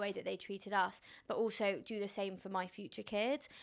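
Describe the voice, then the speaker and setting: The recording is very clean, with a silent background. In it, a woman with a medium pitch talks at a fairly quick pace. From London, England. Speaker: influencer and entrepreneur.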